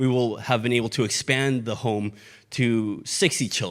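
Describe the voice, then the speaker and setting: A man with a Mexican accent and a medium-pitched voice on a very clean recording with a silent background. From Mexico. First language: Spanish. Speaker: missions ministry leader, former pastor. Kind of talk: sermon.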